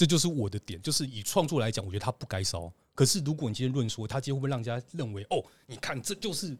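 Speaking in a Taiwanese accent at a very fast pace, a somewhat breathy man makes very wide pitch swings on a very clean recording with a silent background and a dry, close sound with no echo. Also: medium pitch for a man. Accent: Taiwanese Mandarin. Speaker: adult comic artist. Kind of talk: casual chat; heated debate. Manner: halting.

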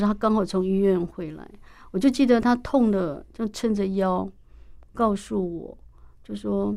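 Her tone dark and mellow, a woman talks at a moderate pace with ordinary pitch variation and big swings in loudness, on a very clean recording with a silent background. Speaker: university professor and author. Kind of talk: interview. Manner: hesitant, many fillers.

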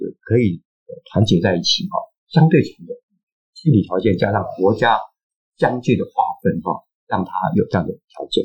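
Long, frequent pauses run through a man's speech, recorded with a dry, close sound and no echo. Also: moderate pace. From eastern Taiwan (Hualien). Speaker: anthropologist and author. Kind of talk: interview. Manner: halting, many filler sounds.

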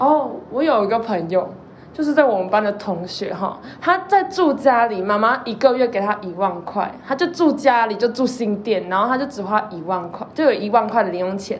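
A woman at a fairly high pitch and moderate pace with lively intonation, over noticeable background noise and audible room echo. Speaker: university student co-host. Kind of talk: casual chat.

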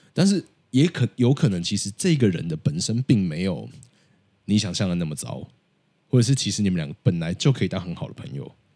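Fairly low in pitch, a man talks at a fairly quick pace with very wide pitch swings. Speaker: podcaster who interviews people about their jobs. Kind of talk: casual chat.

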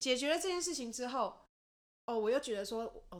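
Using a plain, everyday voice, a woman speaks at a fairly quick pace with lively intonation. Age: 30s. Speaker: podcast co-host. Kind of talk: casual chat.

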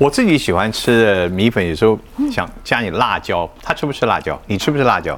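A man's medium-pitched voice with lively intonation at a moderate pace. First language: Mandarin Chinese (speaking Japanese). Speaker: talk show host. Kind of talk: casual interview.

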